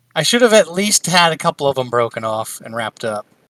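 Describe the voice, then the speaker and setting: Someone does a put-on character voice at a middle pitch. The pace is very fast. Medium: actual play. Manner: brash, grabby.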